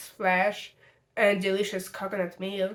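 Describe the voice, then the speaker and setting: A woman speaks with a Russian accent at a fairly slow pace. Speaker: video essayist. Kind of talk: video essay.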